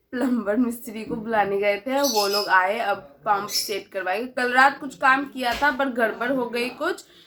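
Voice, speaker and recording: With a Bengali accent, a woman speaks at a high pitch with ordinary variation and hardly any pauses, over noticeable background noise. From West Bengal, India. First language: Bengali (speaking Hindi). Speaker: vlogger. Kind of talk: casual vlog chat.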